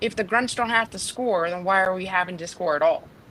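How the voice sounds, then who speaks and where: A plain, everyday voice, its pitch varying in an ordinary way. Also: woman. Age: 20s. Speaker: young military recruit or aspiring enlistee. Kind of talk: panel discussion.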